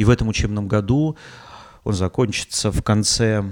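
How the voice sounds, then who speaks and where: A man speaks at a moderate pace with ordinary pitch variation. The recording is very clean, the background silent. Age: 40s. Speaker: podcaster. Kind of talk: casual monologue. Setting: home, rented apartment. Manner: halting.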